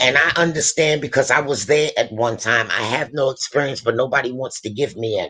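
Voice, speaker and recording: This woman speaks in an animated tone. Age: 60s. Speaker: guest speaker, experienced worker. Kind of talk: casual chat, mentoring advice.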